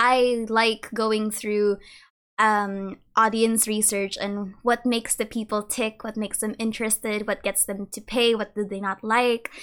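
A woman with a Filipino accent speaks at a fairly slow pace and fairly high pitch, in an amused tone with monotone, flat intonation. The recording is very clean, with a silent background. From Philippines. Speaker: lore content creator and university student. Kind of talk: casual interview chat. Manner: laughs often, amused.

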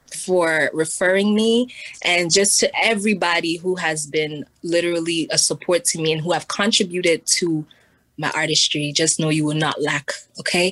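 A woman with a New York accent and fairly low pitch speaks at a moderate pace with fairly even intonation. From New York City. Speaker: musician. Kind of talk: interview.

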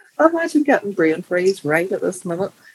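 This is a woman speaking. She talks with a Belfast accent. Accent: Belfast Northern Irish. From Northern Ireland. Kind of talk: casual chat.

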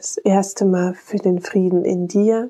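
A woman's medium-pitched voice, dark and mellow in tone, with monotone, flat intonation and a dry, close sound with no echo. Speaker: meditation guide. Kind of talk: guided meditation. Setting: solo podcast recording. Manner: slow, calm, soothing; gentle, warm, unhurried.

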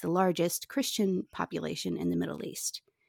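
This woman has a normal speaking voice with fairly low pitch and ordinary pitch variation, captured as a dry, close sound with no echo on a very clean recording with a silent background. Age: 40s. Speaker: podcast host. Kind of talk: interview.

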